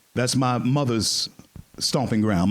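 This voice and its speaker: A man's medium-pitched voice with an American accent, animated in tone, at a fairly slow pace with ordinary pitch variation. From US South, Shreveport, Louisiana. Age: 60s. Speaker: panel moderator and speaker. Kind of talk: storytelling speech to an audience. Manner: animated, repeats words.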